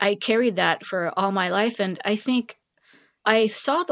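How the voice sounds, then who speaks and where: Fairly slow speech with a Korean accent and ordinary pitch variation, in a dry, close sound with no echo. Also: woman. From South Korea (Seoul). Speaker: tech executive. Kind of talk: interview conversation.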